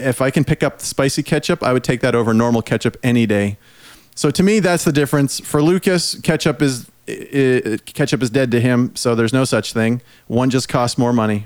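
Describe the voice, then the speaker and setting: A man with a plain, everyday voice speaks at a medium pitch and a fairly quick pace. His pitch variation is ordinary and his loudness very even. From Prince Edward Island, Canada. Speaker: podcast host. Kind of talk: casual chat.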